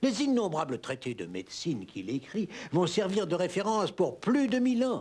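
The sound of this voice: A man with a high pitch talks at a moderate pace, his slightly mellow tone moving through big pitch swings.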